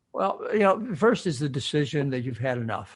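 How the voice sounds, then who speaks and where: Somewhat breathy speech in an American accent, at a fairly quick pace with lively intonation. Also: man. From US Midwest, Michigan. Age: 70s. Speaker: physician and health author. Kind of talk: interview. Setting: podcast interview. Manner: animated.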